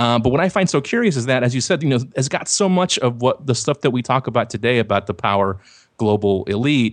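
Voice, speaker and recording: Against a quiet background, a man at medium pitch talks at a very fast pace with lively intonation and very even loudness. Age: 30s. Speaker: website host and commentator. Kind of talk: casual chat. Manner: laughs often.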